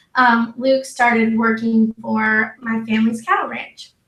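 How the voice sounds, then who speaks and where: A woman with a Texan accent speaks at a fairly slow pace in a high pitch. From Texas. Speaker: wedding photographer. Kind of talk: podcast interview. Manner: casual, filler-heavy.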